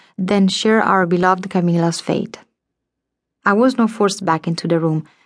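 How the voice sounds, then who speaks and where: A woman's normal speaking voice at medium pitch and moderate pace, with fairly even intonation and a quiet background. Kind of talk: dramatic audiobook narration, first-person historical fiction. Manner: tense, vivid, theatrical, building suspense with shifts into menacing character voices; measured, formal, literary, storyteller's pacing.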